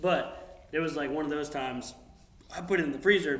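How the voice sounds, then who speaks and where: Over noticeable background noise and audible room echo, a man with an American accent talks at a fairly quick pace in a fairly high pitch, his tone animated and his pitch variation ordinary. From US South, North Carolina (Union County). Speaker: military drone pilot. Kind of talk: casual chat.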